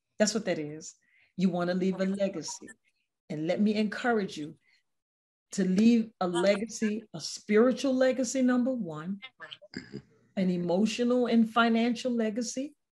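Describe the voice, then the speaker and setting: Her voice is somewhat breathy and fairly high in pitch, with ordinary pitch variation. This woman keeps a moderate pace but leaves long, frequent pauses. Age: old. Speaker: talk show host. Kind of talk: interview with religious reflection. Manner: conversational, repetitive.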